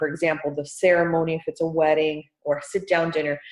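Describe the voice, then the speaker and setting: A woman talks at a fairly quick pace in a fairly low pitch. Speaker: podcast host and event planner. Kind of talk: casual podcast conversation. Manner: upbeat.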